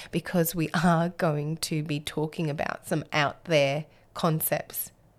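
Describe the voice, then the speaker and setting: A woman speaks with an Australian accent at a fairly low pitch. Her pace is very slow, on a very clean recording with a silent background. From Australia, Alice Springs. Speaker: podcast host. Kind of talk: solo monologue.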